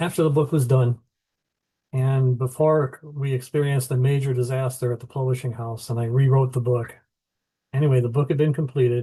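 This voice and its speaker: Over a quiet background, a man in an American accent speaks at a fairly quick pace in a dark, mellow, somewhat breathy tone with monotone, flat intonation. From US Midwest (Illinois). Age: 70s. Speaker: author. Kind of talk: interview.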